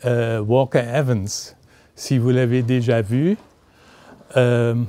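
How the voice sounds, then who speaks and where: Speaking very slowly, a man uses a medium pitch and fairly even intonation. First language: German (speaking French). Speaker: literary historian, author. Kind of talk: book talk. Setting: bookshop event with audience. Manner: halting, many hesitations.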